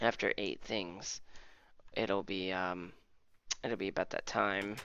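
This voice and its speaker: A man's very slow, monotone delivery, fairly low in pitch, with a bright, sharp tone and flat intonation. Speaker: gaming YouTuber. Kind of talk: let's play commentary. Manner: casual, rambling.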